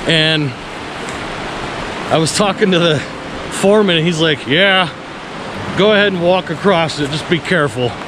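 Over noticeable background noise, a man with a high pitch speaks using ordinary pitch variation and long, frequent pauses. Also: moderate pace. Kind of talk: casual vlog chat. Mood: relaxed, impressed. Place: waterside. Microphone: phone near.

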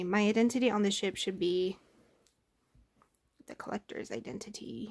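Mumbling with vocal fry, a woman talks at a fairly quick pace with long, frequent pauses, big swings in loudness and ordinary pitch variation over a quiet background. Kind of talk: reading a game story aloud. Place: home room. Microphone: phone near.

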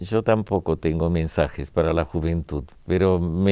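Over a quiet background, a man speaks at a fairly slow pace with fairly even intonation, the sound dry with no echo. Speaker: painter and visual artist. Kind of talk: interview. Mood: reflective, calm. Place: studio.

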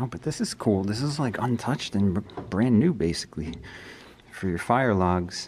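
Over light background noise, a man talks at a moderate pace and a fairly low pitch, his pitch varying in an ordinary way. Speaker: urban explorer vlogger. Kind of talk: casual vlog chat. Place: hall. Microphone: phone near.

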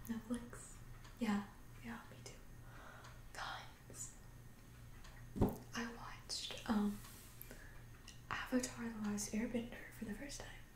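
A soft-spoken woman with a fairly high pitch and ordinary pitch variation talks at a very slow pace, leaving long, frequent pauses. Her loudness swings widely, and noticeable background noise runs underneath. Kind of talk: ASMR roleplay, casual chat to camera. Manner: soft-spoken, calming.

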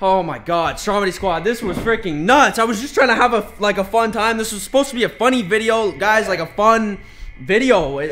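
A man's fairly quick speech, with ordinary pitch variation, plays over light background noise. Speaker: vlogger. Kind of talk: casual vlog chat. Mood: flustered, apologetic. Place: home room. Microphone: phone near.

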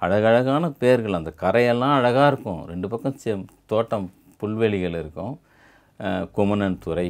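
Over a quiet background, a man with a fairly low pitch speaks with lively intonation. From Chennai, Tamil Nadu. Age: 50s. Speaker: writer. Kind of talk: interview. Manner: halting. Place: home room. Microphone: lapel.

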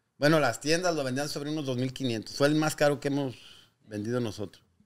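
Speaking with a Mexican accent, a man uses a medium pitch. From Guanajuato, Mexico. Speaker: business owner; guest. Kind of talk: interview. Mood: relaxed, reflective storytelling. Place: shop. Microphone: studio mic.

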